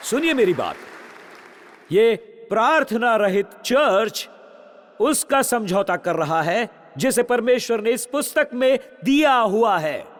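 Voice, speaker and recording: With crowd noise in the background, a man talks at an extremely high pitch, using lively intonation and long, frequent pauses. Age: 60s. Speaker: pastor. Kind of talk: sermon. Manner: animated.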